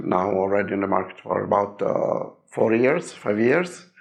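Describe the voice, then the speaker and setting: In an Italian accent, a man speaks at a fairly slow pace with audible room echo. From Italy. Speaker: game designer. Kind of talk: presentation. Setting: seminar room with audience. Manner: hesitant, many fillers.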